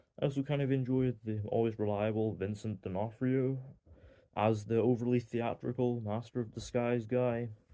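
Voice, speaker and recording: A man's medium-pitched, monotone voice with flat intonation at a moderate pace. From Northern Ireland. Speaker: film reviewer. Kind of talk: casual review monologue. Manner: hesitant, many fillers.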